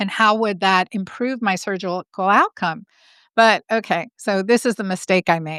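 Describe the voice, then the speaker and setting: An ordinary speaking voice at a moderate pace, dry and close with no echo, in a very clean recording with a silent background. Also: woman. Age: 50s. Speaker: gynecologist. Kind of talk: podcast interview.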